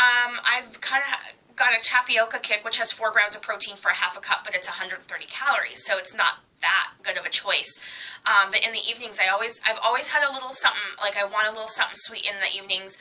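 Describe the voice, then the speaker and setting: Amid noticeable background noise, a woman talks at a very fast pace in a fairly high voice with fairly even intonation. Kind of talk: casual talk to camera.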